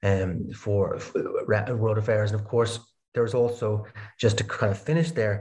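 With a Dublin accent, a man speaks fairly slowly in a fairly low, somewhat breathy voice, keeping his intonation fairly even and leaving long, frequent pauses. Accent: Irish (Dublin). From Ireland, Dublin. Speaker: philosophy researcher. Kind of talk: interview. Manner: halting, many fillers and repeated words.

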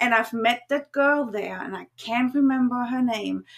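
A woman with a German accent speaks at a fairly slow pace in a fairly high pitch, her bright, sharp tone and lively intonation captured on a very clean recording with a silent background. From Germany. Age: 40s. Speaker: cam model and content creator. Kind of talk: casual interview.

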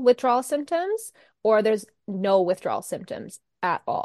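In a quiet background with a dry, close sound and no echo, a woman uses a normal speaking voice at a fairly high pitch and a moderate pace. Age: 30s. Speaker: holistic nutritionist and anxiety coach. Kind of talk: casual interview chat.

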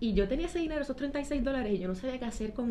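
Over noticeable background noise, a woman talks at a very fast pace with lively intonation. Room echo is audible. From Puerto Rico, Trujillo Alto. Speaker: accountant and financial educator. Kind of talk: interview.

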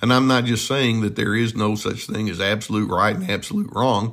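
Speaking at a fairly quick pace, a man keeps his medium-pitched voice in a fairly even intonation. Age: 60s. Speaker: therapist. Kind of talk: solo podcast talk. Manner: hesitant, many filler words.

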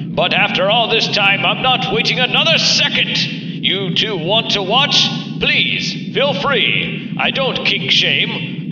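A pompous tone with ordinary pitch variation over background music. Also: man. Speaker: voice actor playing a pompous robot groom. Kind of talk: scripted audio drama, comedic character. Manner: pompous, formal, melodramatic.

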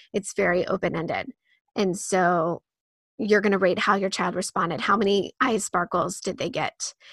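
With an American accent, a woman talks at medium pitch with fairly even intonation. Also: moderate pace, dry, close sound with no echo. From US Midwest. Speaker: author and homeschool curriculum creator. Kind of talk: interview.

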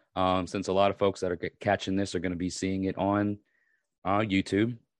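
A raspy man's voice, fairly low in pitch, with a dry, close sound, no echo and a quiet background. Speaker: podcast host and YouTuber. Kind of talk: casual monologue. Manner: hesitant, many fillers.

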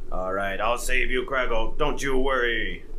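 A man puts on a character voice, with clear background noise in the recording. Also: moderate pace. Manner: put-on, odd voice.

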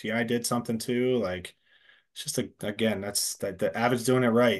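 A man's plain, everyday voice at medium pitch with an American accent, fairly quick and with fairly even intonation, in a quiet background. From Pennsylvania, US. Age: 40s. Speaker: paintball company sales rep. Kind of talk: casual interview chat.

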